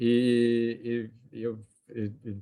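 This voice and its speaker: The voice belongs to a man. He talks at a medium pitch. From Brazil, São Paulo. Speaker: economics professor. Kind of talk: academic seminar presentation. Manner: halting, many fillers and restarts.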